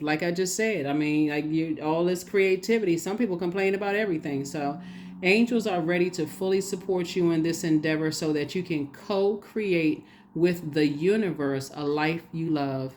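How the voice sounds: At a moderate pace, a woman speaks in a fairly low pitch with a slightly mellow tone.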